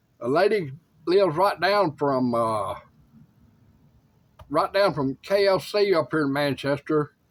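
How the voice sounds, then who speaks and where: A man with a fairly high voice and lively intonation is heard in a very clean recording with a silent background. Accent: Tennessee. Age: 60s. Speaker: YouTuber sharing life updates. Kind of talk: casual talk to camera. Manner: halting, with many fillers.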